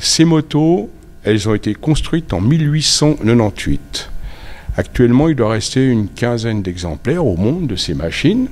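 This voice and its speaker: With very wide pitch swings around a medium pitch, a man speaks at a moderate pace. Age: 70s. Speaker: motorcycle collector. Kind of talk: interview. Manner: halting.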